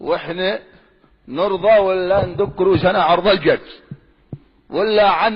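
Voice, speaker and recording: He talks at a fairly slow pace. The man's pitch is high. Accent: Yemeni. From Yemen, Sanaa. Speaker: preacher. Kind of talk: religious sermon.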